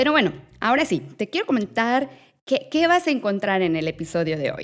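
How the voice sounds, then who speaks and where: Pitch swings very widely as a woman talks at a moderate tempo. The background is silent, and the recording is very clean. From Mexico. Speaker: podcast host. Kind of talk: scripted news segment; casual interview chat.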